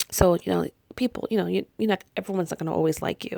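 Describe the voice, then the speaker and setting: An animated tone in a dry, close sound with no echo. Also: woman. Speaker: spiritual healer and reader. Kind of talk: podcast monologue. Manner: fast.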